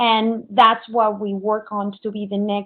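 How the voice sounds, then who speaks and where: Here a woman speaks with a Spanish accent. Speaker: software architect. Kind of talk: conference presentation.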